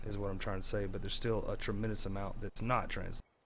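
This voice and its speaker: There is audible room echo around a man's voice. He talks at a very fast pace with fairly even intonation. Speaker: gaming YouTuber. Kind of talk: gameplay tutorial. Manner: casual, filler-heavy.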